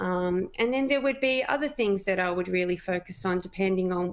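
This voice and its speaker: The speaker talks at a moderate pace with ordinary pitch variation and an Australian accent. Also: woman. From Australia, Melbourne. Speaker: cancer patient, mother. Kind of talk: interview testimony.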